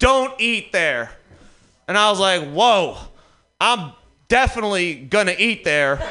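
With an American accent, a man talks in a raised, projected voice that is high for a man, bright and sharp in tone, swinging very widely in pitch at a fairly slow pace with long, frequent pauses, all against audible room echo. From Detroit, US Midwest. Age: 30s. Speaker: stand-up comedian. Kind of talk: stand-up. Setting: stage with audience.

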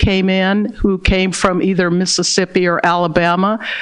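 A woman talks at a moderate pace and medium pitch, with noticeable background noise behind her. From Berkeley, California. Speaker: diversity practitioner, author. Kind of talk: interview.

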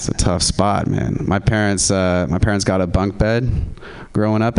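A man speaks at a fairly low pitch with fairly even intonation. Noticeable background noise runs underneath. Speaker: comedian. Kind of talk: stand-up. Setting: stage with audience.

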